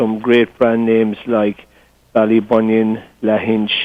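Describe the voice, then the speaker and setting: A man speaks at a medium pitch with an Irish accent. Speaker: golf tourism representative. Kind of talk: interview. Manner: hesitant, repeats words.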